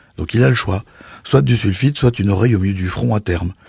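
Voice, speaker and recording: A man's fairly low, dark and mellow voice, somewhat breathy, with lively intonation and a fairly quick pace. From Belgium. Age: 50s. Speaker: sommelier. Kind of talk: podcast commentary. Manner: animated.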